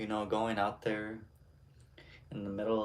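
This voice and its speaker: A man speaks at a moderate pace with a fairly low pitch. Room echo can be heard. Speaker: streamer. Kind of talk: casual chat.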